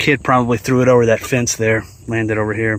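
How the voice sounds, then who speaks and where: A man talking at a fairly quick pace. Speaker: metal detecting youtuber. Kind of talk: outdoor vlog narration. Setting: outdoors.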